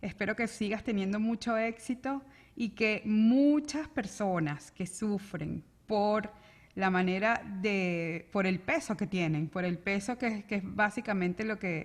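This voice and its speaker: Speech in a Venezuelan accent comes at a very slow pace with ordinary pitch variation. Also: woman, medium pitch for a woman. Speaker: interview show host. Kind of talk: interview conversation. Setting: video call.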